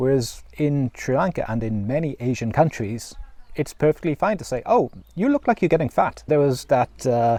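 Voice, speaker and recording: In a dry, close sound with no echo and a quiet background, a man speaks with a dark, mellow tone, a fairly high pitch and lively intonation. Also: moderate pace. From Wales, South Wales Valleys. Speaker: vlogger. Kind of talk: personal reflection monologue. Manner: conversational with fillers and repetitions.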